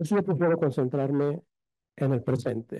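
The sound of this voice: This man has a fairly high pitch, a dark, mellow tone and ordinary pitch variation. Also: moderate pace.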